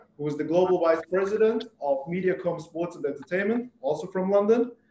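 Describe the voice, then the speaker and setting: A man speaks at a high pitch with ordinary pitch variation. Audible room echo surrounds his voice. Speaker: webinar moderator. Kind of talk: scripted introduction. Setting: video call. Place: home room. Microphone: video call.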